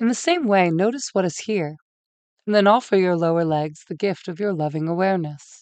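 A woman with an ordinary speaking voice speaks at a medium pitch, with ordinary pitch variation and a quiet background. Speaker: meditation guide. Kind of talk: guided meditation. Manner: slow, soothing, gentle; calm, measured, with long pauses.

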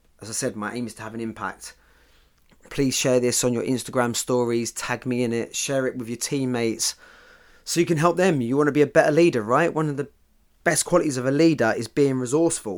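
Speaking at a very fast pace, a man with a British accent is heard on a very clean recording with a silent background. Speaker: football mindset podcaster. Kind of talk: pep talk. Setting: podcast recording. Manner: motivational, punchy, direct; conversational, cheeky humour.

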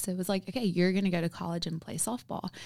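On a very clean recording with a silent background, a woman with an American accent uses an unremarkable speaking voice of medium pitch and ordinary pitch variation. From US South, South Carolina. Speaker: nutrition coach. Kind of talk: casual chat.

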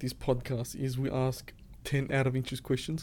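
A man speaks at a moderate pace in a medium pitch with an ordinary speaking voice. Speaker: podcast host. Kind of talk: casual interview. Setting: studio.

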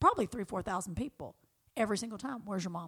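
A woman with a Southern US accent speaks at a medium pitch. Her tone is animated and her intonation lively. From US South. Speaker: friend of the host. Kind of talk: casual chat.

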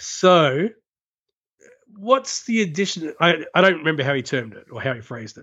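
This man's high-pitched voice makes very wide pitch swings and big swings in loudness at a moderate pace, broken by long, frequent pauses. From Australia. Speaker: co-host. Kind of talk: casual chat. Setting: phone call.

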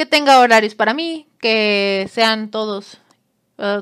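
On a very clean recording with a silent background, a woman's fairly high, animated voice shows ordinary pitch variation. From Mexico, Monterrey. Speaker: podcaster. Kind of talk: casual storytelling monologue.

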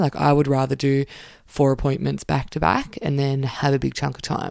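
A very fast woman's voice with a very deep, low pitch and an Australian accent. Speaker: occupational therapist podcast host. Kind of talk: casual solo podcast talk. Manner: animated.

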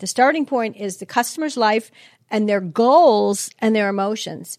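In a dry, close recording with no echo, a woman with a Chicago accent speaks at a fairly high pitch with lively intonation. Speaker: customer experience consultant and author. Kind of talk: interview conversation.

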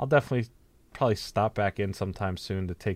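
On a very clean recording with a silent background and a dry, close sound with no echo, a man with an unremarkable speaking voice and a fairly low pitch talks at a fairly quick pace. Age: 20s. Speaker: podcast co-host. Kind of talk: casual chat.

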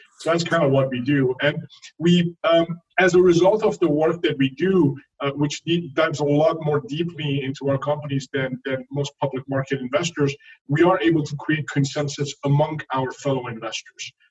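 A man speaks in a French accent, somewhat breathy and fairly high in pitch. His pace is moderate and his intonation fairly even, all in a dry, close sound with no echo. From France. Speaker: hedge fund founder. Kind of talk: interview.

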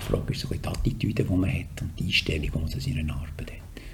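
A man whispering at a fairly quick pace, with noticeable background noise. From Switzerland, canton Solothurn. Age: 60s. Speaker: politician and communications executive. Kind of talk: podcast interview.

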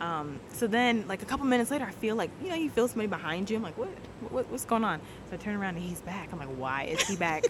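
Amid noticeable background noise, a woman talks at a very fast pace at medium pitch with very wide pitch swings. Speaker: newlywed guest sharing her faith story. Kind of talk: testimony. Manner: loud; animated.

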